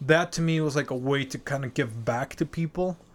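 Intonation stays fairly even as a man talks with a Mexican accent. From Mexico City, Mexico. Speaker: podcast co-host. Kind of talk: casual chat.

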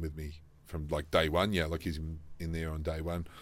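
A man's very deep, low voice with an Australian accent, monotone, flat intonation and audible room echo. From South Australia. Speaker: franchise business executive. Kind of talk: interview. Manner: hesitant with many fillers.

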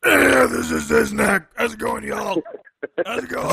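A man puts on a character voice. He keeps a moderate pace. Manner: friendly, greeting.

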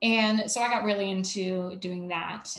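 A woman speaks with an American accent and a somewhat breathy quality. Her pitch rises and falls in an ordinary way. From US South, Savannah, Georgia. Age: 30s. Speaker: mental health speaker. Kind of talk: casual interview.

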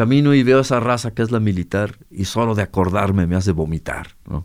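A man keeps a moderate pace on a very clean recording with a silent background. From Mexico, Guadalajara. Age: 60s. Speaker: musician. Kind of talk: interview. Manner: halting, many repetitions.

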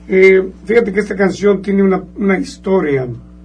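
Noticeable background noise sits behind a man who talks at a fairly slow pace in a high pitch. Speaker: mariachi musician. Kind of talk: radio interview. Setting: radio studio.

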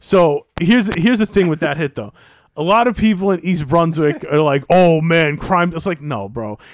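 A man with an American accent speaks at a high pitch. His pace is moderate and his intonation lively. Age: 30s. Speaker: podcast co-host. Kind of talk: casual chat.

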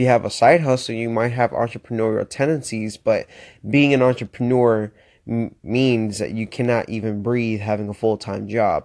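Over a quiet background, a man with an American accent speaks at a moderate pace in a medium pitch. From Florida. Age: 20s. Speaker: motivational podcaster. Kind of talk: motivational monologue. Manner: animated.

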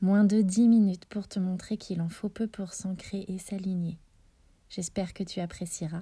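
Somewhat breathy and soothing, a woman's medium-pitched voice has a gentle, dark, mellow tone and fairly even intonation in a very clean recording with a silent background. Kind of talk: guided meditation, visualisation of roots growing into the earth. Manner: slow, soft, soothing, with long pauses; gentle, addressing listener as tu.

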